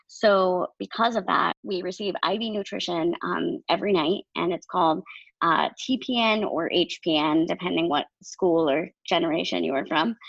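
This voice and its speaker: With an American accent and vocal fry, a woman of fairly low pitch talks at a fairly slow pace with ordinary pitch variation and hardly any pauses. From Maine, US. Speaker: podcast co-host, nonprofit social media worker. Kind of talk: casual chat.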